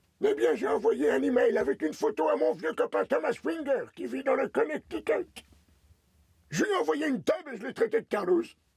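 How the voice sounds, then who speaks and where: A man puts on a character voice at an extremely high pitch. He talks at a fairly quick pace. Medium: fan dub.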